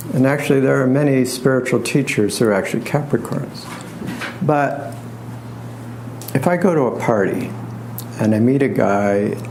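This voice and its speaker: A man speaks at a moderate pace. Audible room echo and noticeable background noise surround him. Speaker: astrologer and tarot reader. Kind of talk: lecture.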